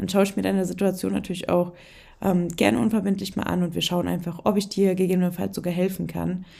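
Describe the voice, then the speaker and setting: The recording is very clean, with nothing but silence behind it. A woman speaks at a very fast pace. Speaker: podcast host and fitness and nutrition coach. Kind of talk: solo podcast monologue with coaching advice. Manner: casual, with frequent filler sounds.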